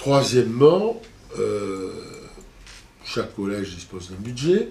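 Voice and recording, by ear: Amid audible room echo, a man with a fairly low pitch and a slightly mellow tone speaks fairly slowly with big pitch swings.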